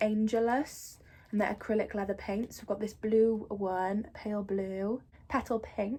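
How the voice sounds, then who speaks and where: A woman's somewhat breathy voice with an English accent, fairly slow and monotone, with flat intonation. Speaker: youtuber. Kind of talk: casual vlog. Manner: chatty, many fillers.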